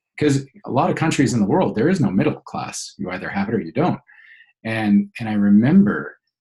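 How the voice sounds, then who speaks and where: Speaking fairly quickly with a Canadian accent, a man uses a medium, somewhat breathy pitch that swings very widely. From Canada, Alberta (childhood partly in Venezuela). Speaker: business coach. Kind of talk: interview. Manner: halting, many fillers and repeats.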